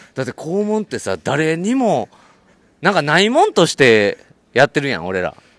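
With a strong Kansai accent, a man speaks at a moderate pace in a fairly high voice that swings very widely in pitch, recorded with a dry, close sound and no echo. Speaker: podcast host. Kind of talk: casual chat. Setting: outdoors on a walk. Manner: animated, frequent laughter.

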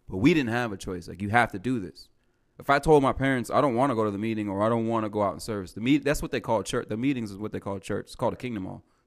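A man talks very fast with ordinary pitch variation and big swings in loudness, recorded very cleanly against a silent background. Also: medium pitch for a man. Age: 30s. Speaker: stand-up comedian. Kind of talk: casual chat.

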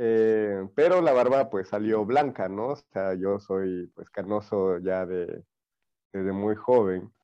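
A man talks at a very slow pace over a quiet background. His fairly low pitch moves with ordinary variation. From Ecuador, Manabí coast. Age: 30s. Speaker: TikTok content creator. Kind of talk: casual interview.

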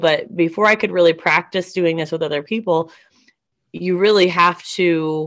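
With a plain, everyday voice, a woman speaks fairly low at a moderate pace with fairly even intonation. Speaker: podcast host and substitute teacher. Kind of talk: casual chat.

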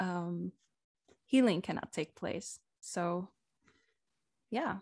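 A woman with a non-native accent speaks in a dry, close sound with no echo. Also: very clean recording, silent background. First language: not English. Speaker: women's coach. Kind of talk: guided meditation; interview conversation.

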